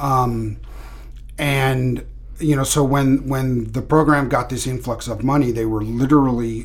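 Noticeable background noise and audible room echo surround a man speaking at a fairly slow pace with an American accent. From Kansas, US Midwest. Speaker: navy veteran, homelessness advocate. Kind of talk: interview. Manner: halting, many fillers and repetitions.

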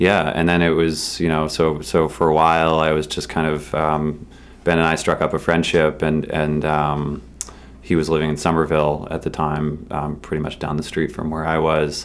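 A man with a very deep, low pitch speaks at a moderate pace. His intonation stays monotone and flat over noticeable background noise. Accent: American. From Massachusetts. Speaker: film festival staff. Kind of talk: interview.

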